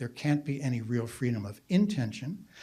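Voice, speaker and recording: A man's somewhat breathy voice with a dark, mellow tone, very wide pitch swings and a fairly quick pace. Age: 70s. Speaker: philosopher. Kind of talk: conference talk.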